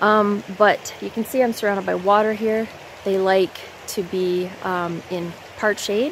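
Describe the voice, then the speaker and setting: With fairly even intonation, a woman is heard in a dry sound with no echo and light background noise. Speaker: forager vlogger. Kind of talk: tutorial. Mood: relaxed, friendly. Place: forest. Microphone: phone near.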